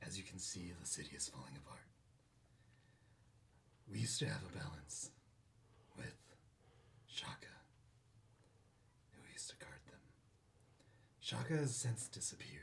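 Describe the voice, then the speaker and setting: Raspy and put-on, this character voice swings very widely in pitch. It holds a moderate pace with long, frequent pauses. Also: man, very deep, low pitch for a man. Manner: ominous.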